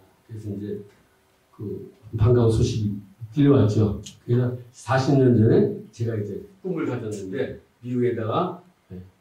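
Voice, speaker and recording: A man's medium-pitched voice, lively in intonation, at a fairly slow pace with long, frequent pauses and audible room echo. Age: 60s. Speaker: pastor. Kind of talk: testimony.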